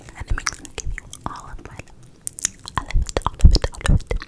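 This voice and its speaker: A woman whispering at a very fast pace amid noticeable background noise. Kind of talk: ASMR video. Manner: whispered.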